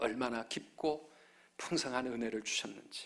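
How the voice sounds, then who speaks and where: A man talks at a fairly slow pace with vocal fry. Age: 50s. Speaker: pastor. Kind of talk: sermon. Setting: church.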